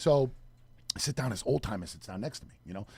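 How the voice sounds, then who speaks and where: With a New York accent, a man talks at a very fast pace in a medium pitch. His delivery is somewhat breathy, with lively intonation. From New York City, Queens (Flushing). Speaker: radio show co-host. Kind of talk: casual chat. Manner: animated.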